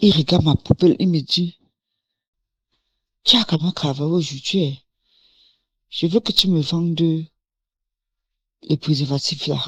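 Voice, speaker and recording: Somewhat breathy speech comes at a fairly slow pace, with long, frequent pauses and ordinary pitch variation. The sound is dry and close with no echo. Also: woman, fairly low pitch for a woman. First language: English (speaking French). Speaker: testimony giver. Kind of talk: testimony. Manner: casual, code-switching.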